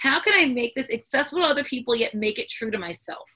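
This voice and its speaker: A woman's high-pitched voice at a very fast pace. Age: 40s. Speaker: author and newspaper columnist. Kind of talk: casual interview chat. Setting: video call.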